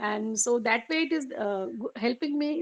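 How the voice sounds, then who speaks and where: A woman speaks at a fairly slow pace with an Indian accent. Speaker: meditation group participant. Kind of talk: sharing in group. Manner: halting.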